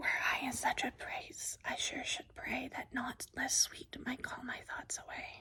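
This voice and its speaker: A soothing whisper moves at a fairly slow pace with hardly any pauses. Noticeable background noise sits behind it. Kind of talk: whispered poetry reading, ASMR. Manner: whispered, soothing.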